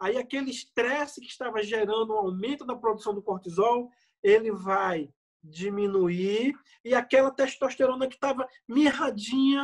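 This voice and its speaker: An extremely high-pitched, animated male voice at a moderate pace, with ordinary pitch variation. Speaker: medical doctor. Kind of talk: health lecture.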